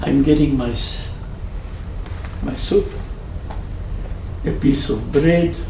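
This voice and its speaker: A man speaks very slowly amid audible room echo and noticeable background noise. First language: not English (Hebrew or Eastern European). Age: 80s+. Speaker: Holocaust survivor. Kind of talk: testimony. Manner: halting.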